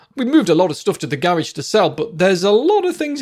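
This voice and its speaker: This man speaks with a British accent. His pitch is high. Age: 40s. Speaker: psychotherapist podcast host. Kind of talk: solo podcast monologue. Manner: casual, conversational.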